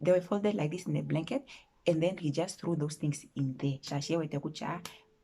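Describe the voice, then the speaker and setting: A somewhat breathy woman's voice. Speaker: vlogger. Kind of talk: storytime chat. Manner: animated.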